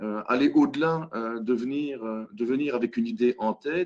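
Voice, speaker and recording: In a Belgian accent, a man speaks at a fairly slow pace with a fairly high pitch. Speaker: hackathon facilitator. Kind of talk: web conference presentation. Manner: halting, many fillers.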